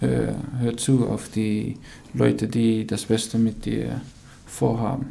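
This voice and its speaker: In a very slow delivery full of long, frequent pauses, a man with a Dutch accent speaks amid noticeable background noise and audible room echo. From Netherlands. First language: Dutch (speaking German). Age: 20s. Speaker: professional footballer. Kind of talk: interview answers. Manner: halting, many fillers.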